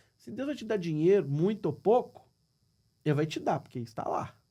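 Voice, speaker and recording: A man with a Minas Gerais accent speaks at a fairly quick pace. His dark, mellow tone rides on very wide pitch swings. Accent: Brazilian Portuguese, mineiro. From Minas Gerais, Brazil. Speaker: businessman. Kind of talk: podcast interview.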